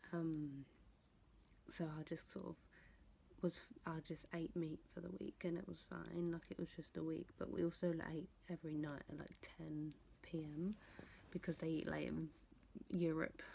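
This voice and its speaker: A woman with a London accent whispers at a moderate pace, leaving long, frequent pauses. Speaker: vlogger. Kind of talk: casual vlog talk. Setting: at home at night. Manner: whispering.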